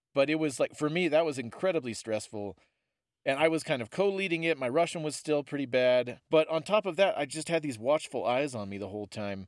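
A normal speaking voice from a man with an American accent, fairly high-pitched, at a fairly quick pace with lively intonation, in a dry, close sound with no echo on a very clean recording over a silent background. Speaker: podcast co-host. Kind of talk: casual chat.

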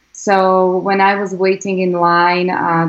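A woman's fairly low-pitched voice with a Slovak accent. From Slovakia. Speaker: congressional candidate. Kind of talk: interview. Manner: halting.

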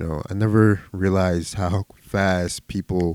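In an American accent, a man with a very deep, low pitch speaks with fairly even intonation, the sound dry and close with no echo and the recording very clean over a silent background. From Philadelphia, US. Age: 20s. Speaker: podcaster. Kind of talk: solo casual monologue.

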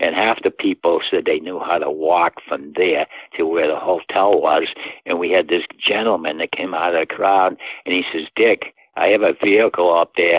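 A man talks with a Boston accent. His pace is moderate. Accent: Boston-area New England. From US Northeast, Massachusetts. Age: 80s+. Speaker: endurance athlete and father. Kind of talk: interview.

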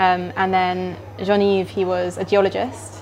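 Noticeable background noise is present. Through it, a woman speaks. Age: 20s. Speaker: wine writer. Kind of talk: casual chat. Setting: restaurant.

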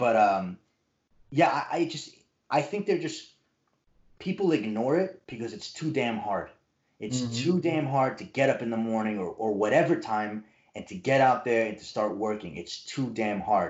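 Here is a man with an ordinary speaking voice. His intonation is lively and his pace moderate. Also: medium pitch for a man, big swings in loudness. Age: 30s. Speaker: martial artist and musician. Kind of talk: casual chat.

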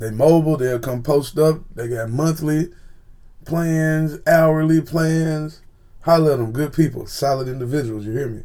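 A moderate pace with ordinary pitch variation. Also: man, fairly high pitch for a man. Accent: Tennessee. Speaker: podcast host. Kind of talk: casual monologue. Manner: animated.

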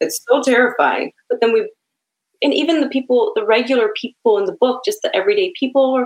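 With a Chicago accent, a woman talks in a high pitch that swings very widely up and down. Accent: Chicago American English. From Chicago, US Midwest. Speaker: author and poet. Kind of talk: casual interview chat.

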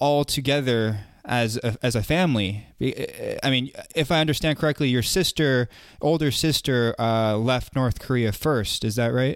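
Pitch varies in an ordinary way as the talking proceeds at a moderate pace. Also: man. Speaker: podcast interviewer. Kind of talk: interview. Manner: halting, many fillers and repetitions.

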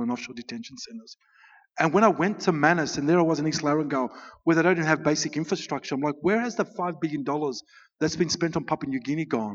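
This man's fairly high pitch carries ordinary variation as he speaks very fast. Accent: Australian. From Australia (Melbourne), Greek family. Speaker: refugee advocate and author. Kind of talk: festival talk, interview on stage.

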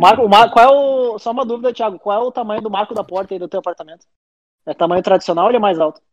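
The man's pitch is high, with ordinary pitch variation. He talks at a very fast pace in a dry, close sound with no echo. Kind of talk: casual chat. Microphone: poor audio quality.

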